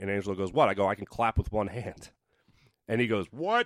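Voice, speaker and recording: The recording is very clean, with a silent background. A man speaks in a normal speaking voice, fairly low in pitch. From Philadelphia area, Pennsylvania (Doylestown). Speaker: sports TV host. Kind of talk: casual chat. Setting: radio studio.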